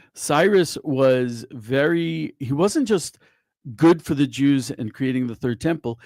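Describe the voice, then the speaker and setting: Recorded very cleanly over a silent background, an ordinary speaking voice moves at a fairly slow pace with lively intonation. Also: man. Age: 60s. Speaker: rabbi and news writer. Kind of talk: casual discussion.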